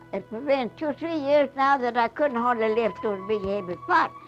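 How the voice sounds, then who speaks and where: A woman's voice with very wide pitch swings, music in the background. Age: 80s+. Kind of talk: interview answer.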